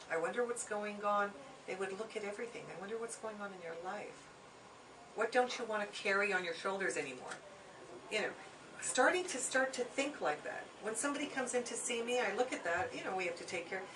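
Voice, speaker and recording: Over noticeable background noise and audible room echo, a woman talks at a fairly quick pace, her fairly high voice full of lively intonation. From Hungary. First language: Hungarian. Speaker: Chinese medicine teacher. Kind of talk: lecture. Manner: conversational with many fillers.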